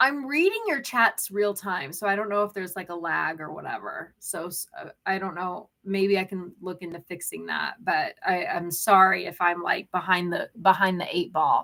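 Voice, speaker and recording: In an unremarkable speaking voice, a woman talks at a moderate pace and medium pitch, with ordinary pitch variation, big swings in loudness and hardly any pauses. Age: 30s. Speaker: crochet livestreamer and small business owner. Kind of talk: casual live-stream chat reading viewer comments. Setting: live stream. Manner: chatty, rambling with filler words.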